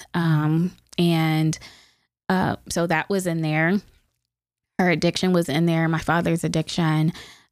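A woman with an American accent speaks fairly slowly in a fairly low, monotone voice, leaving long, frequent pauses. Her loudness is very even, and the recording is very clean with a silent background. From Youngstown, Ohio. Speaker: state legislator. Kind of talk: interview.

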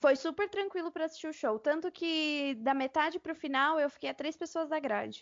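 At a moderate pace, a woman talks in a high pitch with hardly any pauses. Her pitch varies in an ordinary way. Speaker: podcast host. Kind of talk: casual chat. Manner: animated.

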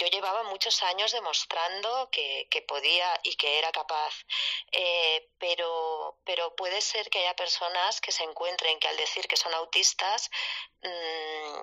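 In a dry, close recording with no echo, a woman with a fairly low voice speaks at a very slow pace and with fairly even intonation. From Barcelona, Spain. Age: 40s. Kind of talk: casual chat. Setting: Twitter Spaces live audio.

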